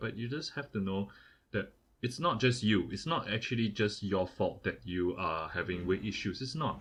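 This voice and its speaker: A man with a Singaporean accent, fairly low-pitched and fairly quick, lively in intonation, against a quiet background. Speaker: podcast co-host. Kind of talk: casual chat. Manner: repetitive, stammering restarts.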